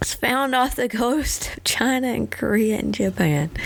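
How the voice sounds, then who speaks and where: With noticeable background noise behind her, a woman in a Southern US accent speaks at a fairly slow pace. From Tennessee. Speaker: vlogger. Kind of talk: casual chat. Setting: at home.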